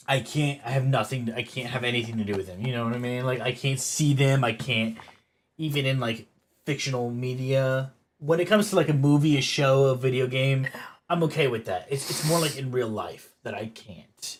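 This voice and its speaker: With a somewhat breathy, medium-pitched voice, a man speaks fairly quickly with ordinary pitch variation. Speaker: streamer. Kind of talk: casual chat. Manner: fast.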